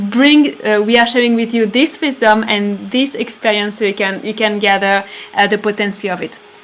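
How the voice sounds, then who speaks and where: With a French accent, a woman speaks at a fairly quick pace and fairly even intonation over noticeable background noise. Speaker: spiritual retreat leader. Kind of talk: live stream talk. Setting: live stream. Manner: halting.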